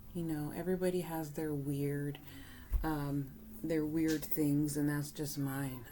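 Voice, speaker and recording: A woman whispers, soft-spoken. Audible room echo surrounds her voice. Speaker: spiritual reader. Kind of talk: tarot card reading. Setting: indoors at home, thin walls. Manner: whispering, soft; halting, filler words.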